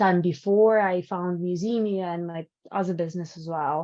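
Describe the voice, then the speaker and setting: A woman speaks in a strong Ukrainian accent at a moderate pace. Her pitch is medium and her intonation fairly even. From Ukraine. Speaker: entrepreneur. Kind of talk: panel discussion. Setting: live stream. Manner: outspoken, direct.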